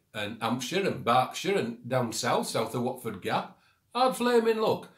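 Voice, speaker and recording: In a Yorkshire accent, a man of medium pitch speaks at a fairly slow pace in a somewhat breathy voice, with a quiet background and audible room echo. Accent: broad Yorkshire. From Yorkshire, England. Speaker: vlogger. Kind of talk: comedic talk to camera. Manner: blunt, indignant. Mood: mock indignant, humorous. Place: home room. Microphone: phone near.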